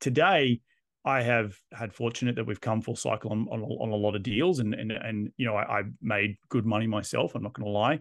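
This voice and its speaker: A man speaks fairly quickly in an Australian accent. His pitch sits in the middle range and varies an ordinary amount. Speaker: real estate investor and developer. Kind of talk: interview.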